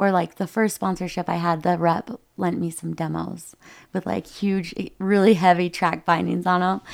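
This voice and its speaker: Speaking with an Upper Midwest accent, a woman keeps a moderate pace and a monotone, flat intonation. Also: fairly low pitch for a woman, very clean recording, silent background. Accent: Upper Midwest American. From US Midwest. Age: 30s. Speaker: ski mountaineer. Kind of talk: podcast interview.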